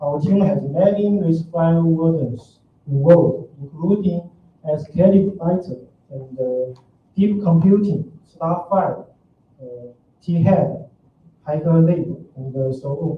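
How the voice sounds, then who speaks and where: Through audible room echo, a high-pitched man talks at a very slow pace with long, frequent pauses. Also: ordinary pitch variation. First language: Chinese. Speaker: open source developer; conference presenter. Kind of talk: conference talk. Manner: hesitant, many fillers. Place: hall.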